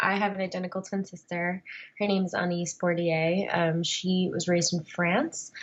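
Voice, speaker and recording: A woman with an American accent, fairly low in pitch, at a moderate pace with monotone, flat intonation. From US Northeast (New Jersey). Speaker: adoptee and actress. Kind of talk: interview. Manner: casual, conversational.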